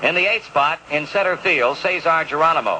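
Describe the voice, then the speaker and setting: Over noticeable background noise, a man with a high pitch talks at a moderate pace with ordinary pitch variation. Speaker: baseball radio announcer. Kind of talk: baseball radio broadcast, reading starting lineups.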